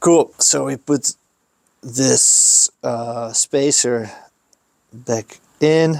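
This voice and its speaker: A man with a Dutch accent at a very slow pace, long, frequent pauses, and a dry, close sound with no echo. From Netherlands. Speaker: skate shop owner. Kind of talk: tutorial. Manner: casual with hesitations.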